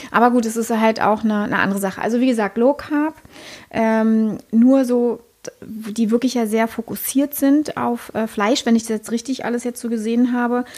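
Intonation stays monotone and flat. The delivery keeps a moderate pace. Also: woman, fairly high pitch for a woman. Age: 40s. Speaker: podcast co-host. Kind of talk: casual chat.

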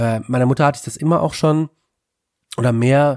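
A man's dark, mellow tone comes through with ordinary pitch variation and a dry, close sound with no echo. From Germany (Wetzlar, Hesse). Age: 30s. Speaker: author and political educator. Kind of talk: casual interview. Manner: halting, many fillers.

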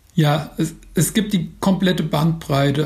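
Over noticeable background noise, a fairly high-pitched man speaks very slowly with ordinary pitch variation. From Mainz, Germany. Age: 40s. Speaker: football blogger and author. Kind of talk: interview. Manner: hesitant with frequent fillers.

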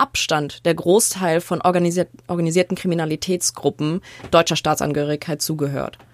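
A woman speaks in a plain, everyday voice. Her fairly low pitch and fairly even intonation come through a dry, close sound with no echo. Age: 20s. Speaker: journalism student and podcast co-host. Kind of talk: casual chat.

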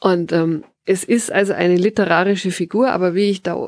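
The speaker has a Bavarian accent, heard in a dry, close sound with no echo on a very clean recording with a silent background. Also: woman. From Bavaria, Tegernsee valley. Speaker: author and forest bathing guide. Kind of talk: interview. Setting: garden hut with wood stove.

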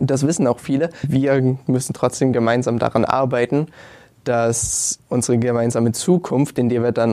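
A man's dark, mellow tone at medium pitch, moderate in pace, with fairly even intonation. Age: young. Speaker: student climate activist. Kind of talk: panel discussion.

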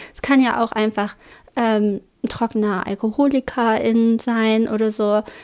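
A woman speaks in a Braunschweig accent at a fairly slow pace. Her fairly high pitch stays in monotone, flat intonation. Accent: Braunschweig dialect, vowels shift to umlauts. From Germany, Braunschweig. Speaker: podcast co-host. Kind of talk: casual chat.

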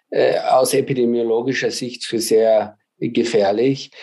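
A man speaks very slowly in a Viennese accent. His medium-pitched voice has a dark, mellow tone and fairly even intonation. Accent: Viennese dialect, clearly audible. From Austria, Vienna. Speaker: mathematics professor. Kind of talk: interview. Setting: video call. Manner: hesitant, many filler sounds.

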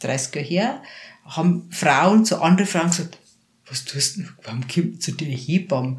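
Speaking in a Bavarian accent, a woman with a fairly low, somewhat breathy voice uses lively intonation. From Lower Bavaria, rural area near Passau. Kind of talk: casual interview. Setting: her practice.

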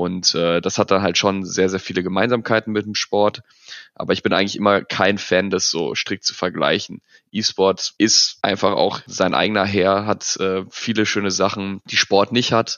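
In a monotone, flat intonation, a man with a fairly low pitch speaks at a moderate pace. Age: 20s. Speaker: esports world champion gamer. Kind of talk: interview. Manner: hesitant with fillers.

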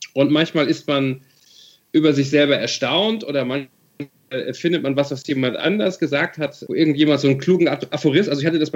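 A fairly high-pitched man at a very fast pace. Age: 40s. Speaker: novelist. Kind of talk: interview.

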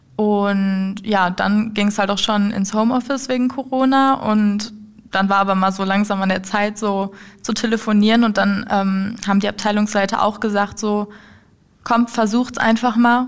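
A woman speaks in a monotone, flat intonation at very even loudness. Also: medium pitch for a woman, moderate pace. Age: 20s. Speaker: apprentice in dialogue marketing. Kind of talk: casual interview. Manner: halting.

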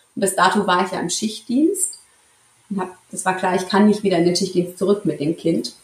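A woman speaks at a moderate pace in a somewhat breathy voice of medium pitch with ordinary pitch variation. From Central Hesse, Germany (Marburg). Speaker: intensive care nurse. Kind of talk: interview conversation. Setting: in person with co-host, hybrid recording.

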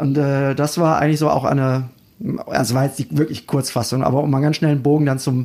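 At a fast pace, a man speaks with a slightly mellow tone and little pitch movement. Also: medium pitch for a man.

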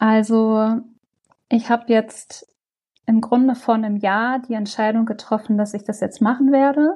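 A woman with a fairly high voice speaks at a fairly slow pace, somewhat breathy, in a dark, mellow tone with fairly even intonation. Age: 40s. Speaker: project coordinator in public service. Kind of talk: interview conversation.

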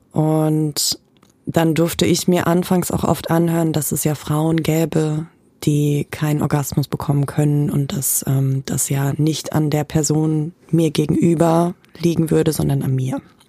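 Amid noticeable background noise, a woman with a very deep, low voice speaks at a fairly slow pace. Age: 20s. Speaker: costume designer. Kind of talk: casual chat. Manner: animated.

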